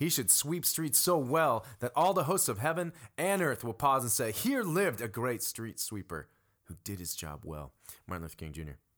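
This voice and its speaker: Vocal fry runs through this man's speech. The pitch moves in very wide swings. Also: medium pitch for a man, moderate pace. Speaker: worship and young adults pastor. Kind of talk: casual podcast discussion.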